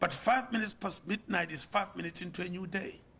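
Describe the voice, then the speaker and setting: Noticeable background noise runs under the recording. A man talks at a moderate pace with ordinary pitch variation. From South Africa. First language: not English. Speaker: pastor and business leader. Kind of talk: sermon; lecture.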